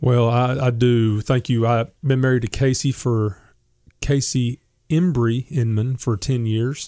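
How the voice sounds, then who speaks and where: On a very clean recording with a silent background, a man with a Southern US accent speaks at a fairly slow pace with very even loudness. His medium-pitched voice has a dark, mellow tone and fairly even intonation. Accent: Southern American. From US South, Memphis, Tennessee. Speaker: gospel singer and songwriter. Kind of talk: casual interview.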